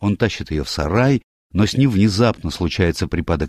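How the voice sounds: Over a quiet background, a natural reading voice with lively intonation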